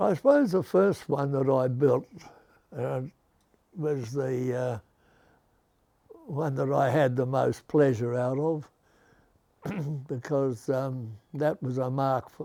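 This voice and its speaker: The speech moves at a very slow pace with long, frequent pauses. The intonation stays fairly even. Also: man, medium pitch for a man. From Australia. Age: 80s+. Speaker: car builder; war veteran. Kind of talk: interview answer.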